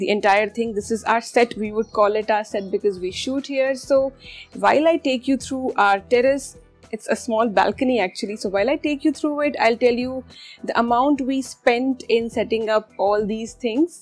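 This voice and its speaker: Faint music plays behind a woman who speaks at a moderate pace with ordinary pitch variation. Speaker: cooking channel host. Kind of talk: casual vlog chat.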